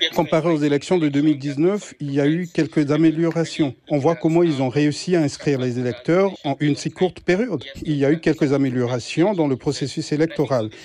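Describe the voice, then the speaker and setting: At a moderate pace and with hardly any pauses, a man talks at a fairly high pitch with ordinary pitch variation and a dark, mellow tone. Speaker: voter. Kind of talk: vox pop.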